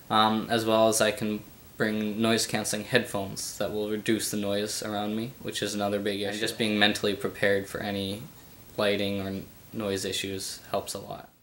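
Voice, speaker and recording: A man talks at a moderate pace in a fairly low pitch, his intonation monotone and flat. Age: 20s. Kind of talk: interview answer. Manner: hesitant, halting.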